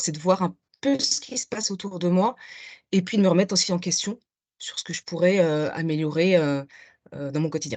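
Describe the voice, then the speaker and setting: Over a quiet background, a woman with a fairly low pitch and a dark, mellow tone speaks at a fairly quick pace with ordinary pitch variation. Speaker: participant. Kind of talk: comment in online masterclass. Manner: fast.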